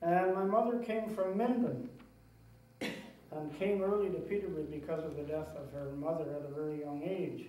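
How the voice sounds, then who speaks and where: Heard with audible room echo, a man with a high pitch talks at a moderate pace with a rural Ontario accent and ordinary pitch variation. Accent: Canadian English (rural Ontario). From Ontario, Canada (Lakefield area). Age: 60s. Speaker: local resident sharing memories. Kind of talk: oral history talk. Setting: talk to a society audience, videotaped.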